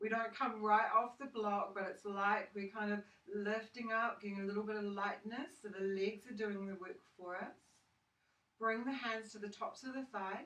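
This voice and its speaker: A woman with a plain, everyday voice, fairly high in pitch, fairly even in intonation, at a moderate pace. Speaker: yoga teacher. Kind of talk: guided yoga class instruction. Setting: home studio recorded with a phone. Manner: calm, soothing, instructional.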